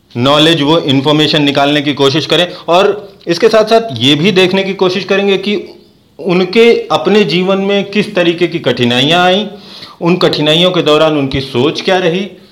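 With noticeable background noise, a man talks in a high voice with ordinary pitch variation. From eastern Uttar Pradesh (Ballia). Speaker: podcast host. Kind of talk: interview.

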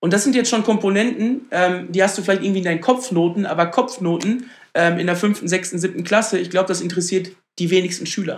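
A man talks at a very fast pace in a high pitch with ordinary pitch variation. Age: 30s. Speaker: startup founder. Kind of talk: podcast interview.

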